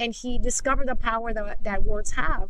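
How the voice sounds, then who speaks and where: Over noticeable background noise, a woman talks with ordinary pitch variation. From Mexico. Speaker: podcast co-host and teacher. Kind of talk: testimony.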